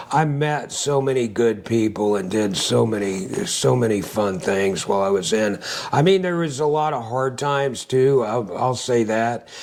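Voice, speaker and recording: A man's medium-pitched voice at a moderate pace, lively in intonation, with hardly any pauses, noticeable background noise and audible room echo. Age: 60s. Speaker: Navy veteran and angler. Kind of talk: casual chat. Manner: hesitant, many filler words.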